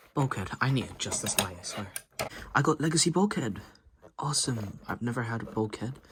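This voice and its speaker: With lively intonation, a man talks at a fairly quick pace and a medium pitch. Long, frequent pauses break up his speech over noticeable background noise. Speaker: toy collector YouTuber. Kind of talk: unboxing video.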